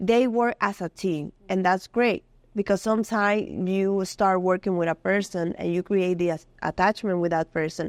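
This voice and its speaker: A woman with a Dominican accent, medium pitch and fairly even intonation at a moderate pace, over a quiet background. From Dominican Republic. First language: Spanish. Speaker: community health worker. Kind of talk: interview. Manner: halting.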